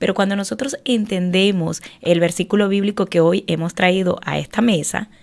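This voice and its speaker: A woman speaks at a medium pitch with ordinary pitch variation and hardly any pauses. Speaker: faith segment contributor, author. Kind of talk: faith talk radio segment. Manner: slow, measured.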